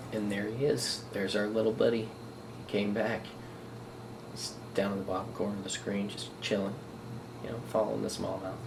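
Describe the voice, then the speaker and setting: Amid noticeable background noise and audible room echo, a man with a fairly low pitch talks at a fairly quick pace, broken by long, frequent pauses. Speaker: fishing vlogger. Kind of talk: vlog narration over underwater footage. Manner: casual, animated; whispering at times.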